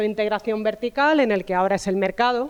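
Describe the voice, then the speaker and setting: At a fairly quick pace, a woman with a southern Spanish accent talks at medium pitch with ordinary pitch variation. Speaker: university professor of food sociology. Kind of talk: talk at a round table.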